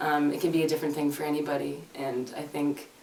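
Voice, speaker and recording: A woman's very deep, low, monotone voice at a very fast pace in a slight Canadian accent, with audible room echo and noticeable background noise. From Canada. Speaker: singer-songwriter. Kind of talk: casual interview chat. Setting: reverberant music room. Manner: hesitant, many fillers.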